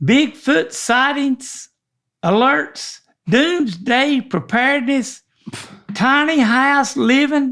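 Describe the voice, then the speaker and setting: Speaking very slowly with a Southern US accent, a man uses an extremely high pitch, lively intonation and a bright, sharp tone. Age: 70s. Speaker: podcast co-host. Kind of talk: casual chat. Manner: halting.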